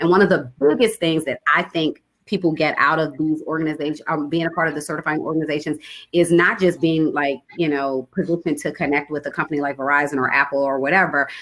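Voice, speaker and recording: A woman talks at a very fast pace with a very deep, low pitch. Her intonation stays fairly even. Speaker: supplier diversity manager presenting a webinar. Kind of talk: webinar presentation with Q&A.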